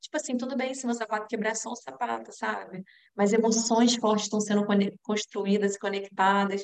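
In a dry, close sound with no echo, a woman with a normal speaking voice and a fairly high pitch talks at a moderate pace with fairly even intonation. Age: 30s. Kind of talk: sermon-style talk to a women's group.

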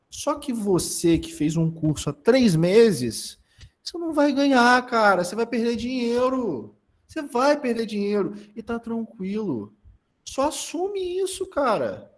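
The man's extremely high pitch swings very widely as he talks at a fairly slow pace. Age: 20s. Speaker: content creator and marketing consultant. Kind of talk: casual chat.

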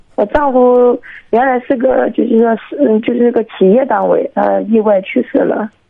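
Very even loudness, a moderate pace and fairly even intonation. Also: woman, high pitch for a woman. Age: 30s. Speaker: caller. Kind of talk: phone-in advice call. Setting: phone call. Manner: halting.

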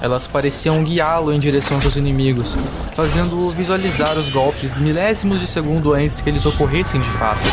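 Music in the background accompanies a dramatic, intense tone delivered at a fairly quick pace. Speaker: storyteller narrating a fantasy tale. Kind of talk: scripted mythic storytelling, epic fantasy narration read aloud. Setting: audio story meant for headphones. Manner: dramatic, intense, building tension in a vivid, grave tone; measured, solemn, with short punchy sentences in battle.

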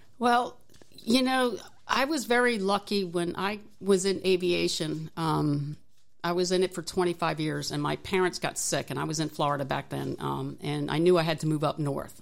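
A woman's fairly low-pitched, normal speaking voice, with lively intonation at a moderate pace, in a very clean recording with a silent background. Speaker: engineering technology professor and Navy veteran. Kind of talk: interview.

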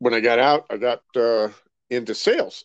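Against a quiet background, a man with an American accent speaks with fairly even intonation in a dry, close sound with no echo. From California, Rancho Cucamonga. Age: 60s. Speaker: insurance consultant and army veteran. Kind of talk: casual interview.

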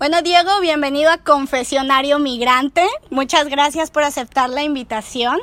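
A high-pitched woman with a Mexican accent speaks at a moderate pace with ordinary pitch variation. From Mexico. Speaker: podcast host. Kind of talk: casual chat. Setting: recording over a beer with a friend.

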